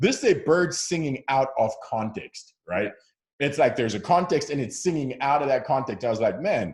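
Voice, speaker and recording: A man talks at a moderate pace with a fairly high pitch. His voice is somewhat breathy and his intonation lively. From Zimbabwe. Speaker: founder of a faith conversation channel. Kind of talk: casual interview. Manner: hesitant with repeated words.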